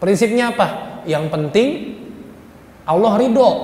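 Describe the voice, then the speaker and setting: Moderate-paced male speech amid audible room echo and noticeable background noise. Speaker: Islamic preacher. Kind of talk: sermon.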